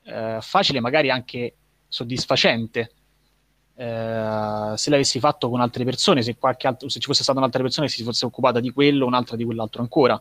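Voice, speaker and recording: Very fast and at a medium pitch, a man speaks with ordinary pitch variation in a dry, close sound with no echo. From Rome, central Italy. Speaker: writer and musician. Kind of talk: interview.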